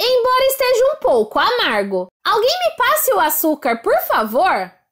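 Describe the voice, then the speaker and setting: A woman puts on a character voice pitched extremely high, with very wide pitch swings. She keeps a moderate pace and very even loudness. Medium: read story.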